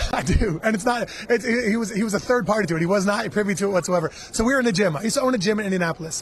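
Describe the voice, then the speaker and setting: A very fast pace and an animated tone over noticeable background noise. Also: man, high pitch for a man, ordinary pitch variation. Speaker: MMA fighter. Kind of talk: casual interview. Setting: radio row at a live event.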